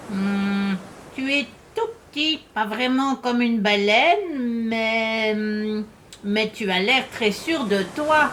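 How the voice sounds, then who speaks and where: A put-on character voice, pitched fairly high and delivered at a very slow pace. Background noise is clearly audible. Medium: read story.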